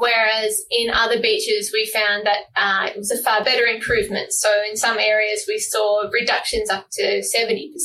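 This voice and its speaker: Amid noticeable background noise, a woman with an Australian accent talks with hardly any pauses. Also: moderate pace. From Tasmania, Australia. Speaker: marine plastic pollution researcher. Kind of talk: interview. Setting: remote call.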